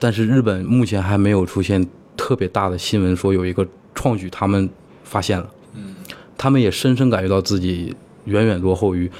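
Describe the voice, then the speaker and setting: Fairly low in pitch, a man speaks at a fairly quick pace in a normal speaking voice with fairly even intonation. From Heilongjiang, northeast China. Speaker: IT worker living abroad. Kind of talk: interview conversation. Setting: in-person recording in Singapore.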